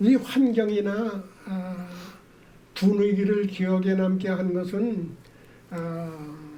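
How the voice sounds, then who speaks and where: Pausing long and often, a man with a high voice speaks very slowly with fairly even intonation. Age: 80s+. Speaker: marathon runner. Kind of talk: interview answer.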